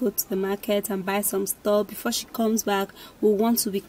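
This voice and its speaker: At a moderate pace, a woman is talking. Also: dry sound with no echo. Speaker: vlogger. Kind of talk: casual vlog chat. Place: car. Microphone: phone near.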